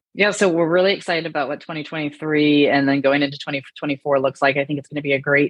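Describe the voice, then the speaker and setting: With a Michigan accent, a woman speaks fairly quickly in a very deep, low voice, keeping her intonation fairly even. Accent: US Midwestern (Michigan). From Michigan, small town. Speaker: real estate investor, former corporate executive. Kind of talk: interview conversation.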